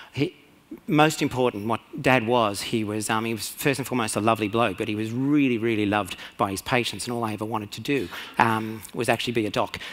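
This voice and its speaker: At a fairly quick pace, a man talks at medium pitch with fairly even intonation. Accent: Australian. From rural Australia. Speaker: conference speaker, radiologist and CEO. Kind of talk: conference talk. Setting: stage with audience. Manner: fast; hesitant, many fillers.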